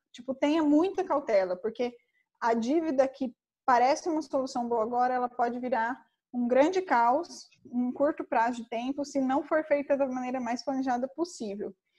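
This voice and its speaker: This is a woman's voice with a high pitch. Her pitch varies in an ordinary way. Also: moderate pace. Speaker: finance consultant. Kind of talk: online lecture. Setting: online event.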